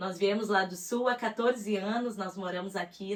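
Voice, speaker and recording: A fairly slow, flat monotone in a strong gaúcho accent, with noticeable background noise. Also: woman. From Rio Grande do Sul, southern Brazil. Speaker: psychologist and author. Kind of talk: testimony interview.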